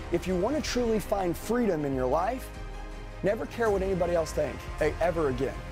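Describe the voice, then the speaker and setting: With music in the background, a man speaks at a high pitch and a fairly quick pace, his tone intense and his pitch swinging very widely. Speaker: sales trainer and motivational speaker. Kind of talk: live motivational speech to a sales audience. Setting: live training room with an audience. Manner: direct, forceful, intense, blunt.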